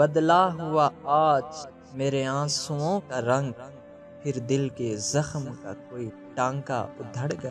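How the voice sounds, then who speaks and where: A man's fairly high voice with ordinary pitch variation, music playing in the background. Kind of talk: poetry reading.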